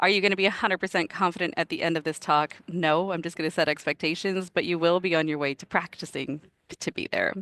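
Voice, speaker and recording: Recorded dry and close with no echo against a quiet background, a woman speaks very fast in a fairly low voice. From Canada. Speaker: product manager and career coach. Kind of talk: presentation talk. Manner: animated.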